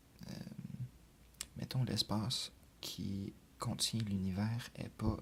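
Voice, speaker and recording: A soft-spoken, whispering voice in a Quebec accent, with vocal fry, at a very slow pace. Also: man. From Quebec, Canada. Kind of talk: ASMR video. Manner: whispered, soft-spoken.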